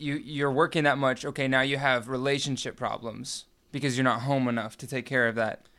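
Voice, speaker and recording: On a very clean recording with a silent background, a man with an American accent talks at a moderate pace and medium pitch, his bright, sharp tone delivered in monotone, flat intonation. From Missouri, US Midwest. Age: young. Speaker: salesman and online store owner. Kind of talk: casual interview chat.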